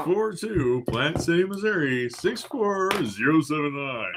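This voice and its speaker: A put-on character voice speaks at a fairly slow pace over clear background noise. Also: man, fairly high pitch for a man. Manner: bright announcer delivery.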